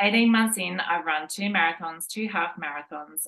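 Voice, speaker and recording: With an Australian accent, a woman talks at a fairly quick pace with ordinary pitch variation. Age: 40s. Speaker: running podcast co-host. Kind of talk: scripted narration.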